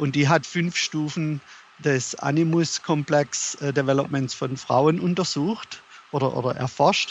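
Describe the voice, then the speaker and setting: A man at a fairly slow pace, fairly high pitch and fairly even intonation. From Germany. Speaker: author. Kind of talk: interview. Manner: halting.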